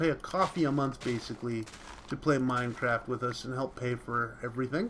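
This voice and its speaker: A moderate pace in a Canadian accent. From Canada. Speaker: gaming video creator. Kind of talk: gameplay commentary. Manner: casual, with fillers.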